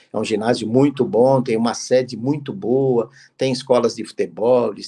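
The voice has a dark, mellow tone and fairly even intonation. It moves at a moderate pace against a quiet background. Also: man. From Brazil. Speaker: football club executive; guest. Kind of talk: interview. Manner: halting, many fillers. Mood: relaxed, conversational. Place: home room. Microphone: video call.

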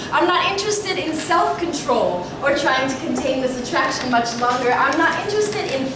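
A woman's voice carries audible room echo amid noticeable background noise. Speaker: slam poet. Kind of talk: sensual spoken word poetry performance. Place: shop. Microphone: camera far.

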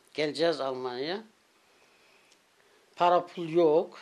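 A woman speaks in a very deep, low pitch with ordinary pitch variation. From Turkey. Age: 80s+. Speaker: former guest worker. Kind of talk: interview answer. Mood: reminiscing, emotional at times. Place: home room. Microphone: handheld.

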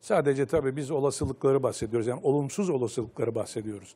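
A man at a medium pitch with a dark, mellow tone, ordinary pitch variation and a very fast pace. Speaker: football pundit. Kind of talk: panel discussion. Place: studio. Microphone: lapel.

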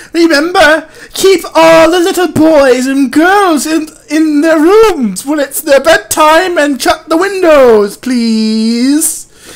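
In a put-on character voice pitched high, the speaker cackles at a very slow pace in a sinister, theatrical tone. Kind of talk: over-the-top spooky story narration, comic overacting. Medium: comedy sketch. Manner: theatrical, drawn-out ominous "oh, yes" asides; cackling, mock-sinister.

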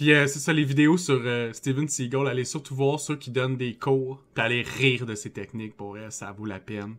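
A man with a Quebec accent talks with big swings in loudness. The background stays quiet. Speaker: podcast host. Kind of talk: casual chat. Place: home room. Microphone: headset.

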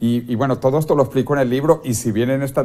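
A man speaks in a dark, mellow tone. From Venezuela. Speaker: futurist author; interview guest. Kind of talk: TV interview. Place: studio. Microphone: lapel.

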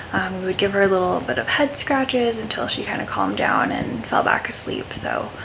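Her speech is a whisper. She keeps a moderate pace. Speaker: pet owner vlogger. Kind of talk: casual vlog chat. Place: garage. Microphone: phone near.

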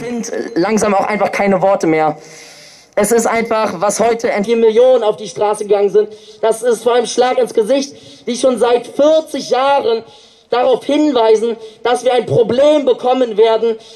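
This man's pitch is extremely high, with ordinary variation. He talks at a moderate pace. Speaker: climate activist speaker and rally organizer. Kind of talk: protest rally speech. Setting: outdoors at demonstration. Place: street.

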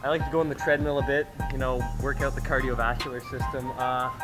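Clear music sounds behind a man speaking at a very fast pace. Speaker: vlogger. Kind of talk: joking casual vlog chat. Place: gym. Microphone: phone near.

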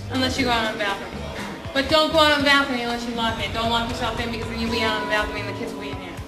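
A woman talks at a very fast pace. Music plays clearly behind her. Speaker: stand-up comedian. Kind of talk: stand-up comedy routine. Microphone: lapel.

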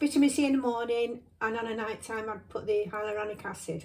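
Over noticeable background noise, a woman speaks at a high pitch with ordinary pitch variation. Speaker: beauty vlogger. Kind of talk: casual vlog chat. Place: home room. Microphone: phone near.

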